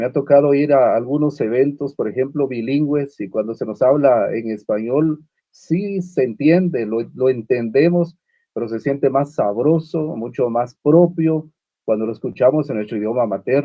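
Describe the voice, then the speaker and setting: Here a man speaks at a moderate pace with a fairly high pitch and ordinary pitch variation. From Guatemala (Uspantán, Quiché). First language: Uspantek (Mayan) (speaking Spanish). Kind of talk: panel discussion. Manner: halting, many fillers and repetitions.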